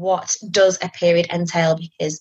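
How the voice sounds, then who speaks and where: A woman speaks at a moderate pace with a fairly low pitch and monotone, flat intonation. Her voice is somewhat breathy, with a dry, close sound and no echo. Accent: English. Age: 30s. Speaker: charity operations manager. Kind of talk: interview. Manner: hesitant, many fillers.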